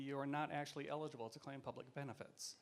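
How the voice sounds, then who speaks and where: A man with an American accent talks fairly quickly at a medium pitch in a plain, everyday voice. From US, Seattle. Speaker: theatre producer and activist. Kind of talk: panel talk. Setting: stage with audience.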